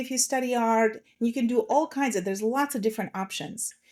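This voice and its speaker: A woman's fairly high pitch on a very clean recording with a silent background. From Slovakia. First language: Russian. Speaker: transformation coach. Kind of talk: podcast interview.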